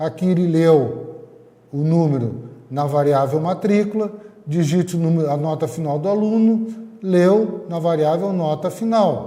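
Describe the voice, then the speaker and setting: A man talks at a fairly slow pace with a high pitch and ordinary pitch variation. Audible room echo and noticeable background noise are present. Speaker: teacher. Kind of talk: lecture. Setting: recorded online class.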